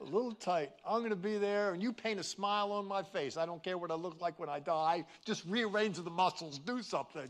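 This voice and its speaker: Amid noticeable background noise, a high-pitched man talks at a fairly quick pace with hardly any pauses and ordinary pitch variation. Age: 70s. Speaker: pastor. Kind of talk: sermon. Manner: animated.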